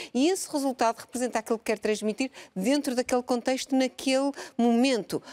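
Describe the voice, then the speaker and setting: A woman with a normal speaking voice and a fairly high pitch talks at a moderate pace. The sound is dry and close with no echo, on a very clean recording with a silent background. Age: 50s. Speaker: biologist and research institute director. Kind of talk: televised panel debate. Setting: live broadcast from a museum.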